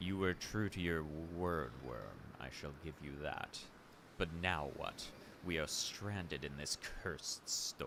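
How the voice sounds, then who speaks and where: A man puts on a character voice, very deep and low. He speaks at a fairly slow pace over clear background noise. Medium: virtual streamer. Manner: blunt, gruff.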